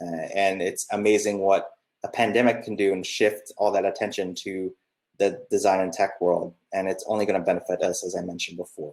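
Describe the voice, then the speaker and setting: In a normal speaking voice, a man with an American accent talks at a fairly quick pace and a fairly low pitch. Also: fairly even intonation. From US. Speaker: product designer. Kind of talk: presentation talk. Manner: casual, many fillers.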